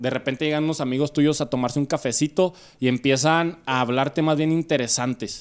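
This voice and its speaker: At a fairly quick pace and with fairly even intonation, the speaker talks with a Mexican accent in a very clean recording with a silent background. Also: man, fairly high pitch for a man. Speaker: podcast host. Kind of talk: casual chat. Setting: home studio.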